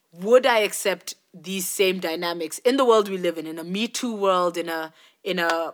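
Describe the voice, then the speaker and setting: An ordinary speaking voice at a moderate pace, with ordinary pitch variation. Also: woman. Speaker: podcast co-host. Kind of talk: casual chat.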